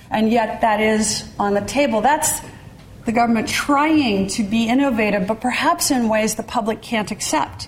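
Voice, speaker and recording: A woman with an American accent at a fairly high pitch, ordinary pitch variation and a moderate pace, with noticeable background noise. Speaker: economist and former presidential adviser. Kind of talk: lecture. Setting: lecture hall with audience.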